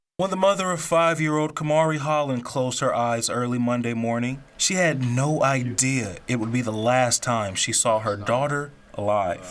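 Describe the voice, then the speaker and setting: Speaking at a moderate pace with hardly any pauses, a man with a medium pitch uses lively intonation against noticeable background noise. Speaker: TV news reporter. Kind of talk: TV news package narration.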